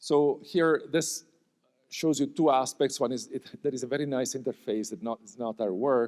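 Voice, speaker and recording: This is a normal speaking voice from a man, pitched fairly high, with ordinary pitch variation. His loudness swings a lot. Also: moderate pace. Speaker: computer vision researcher, award honoree. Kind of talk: award talk with slides.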